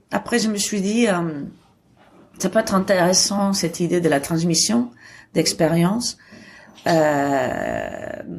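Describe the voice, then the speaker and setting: A woman speaks very slowly at a fairly low pitch, with vocal fry. Her pitch varies in an ordinary way. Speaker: photography school director. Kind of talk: interview answer.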